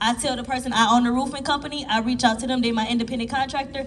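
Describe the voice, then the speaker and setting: A woman talks very fast in an animated tone, her pitch high. Audible room echo and noticeable background noise fill the recording. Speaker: business coach on a panel. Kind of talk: panel discussion.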